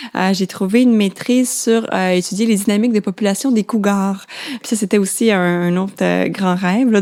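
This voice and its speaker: A woman speaks at medium pitch. Her intonation is fairly even. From Quebec, Laurentides. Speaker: biologist. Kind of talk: interview. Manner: halting, many fillers.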